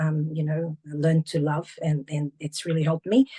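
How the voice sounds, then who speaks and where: Recorded with a dry, close sound and no echo, a woman speaks at a moderate pace in a somewhat breathy voice of fairly low pitch. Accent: Portuguese. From Portuguese-speaking country, moved abroad at 14. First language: Portuguese. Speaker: teacher, author and entrepreneur. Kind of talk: interview. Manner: halting, many fillers.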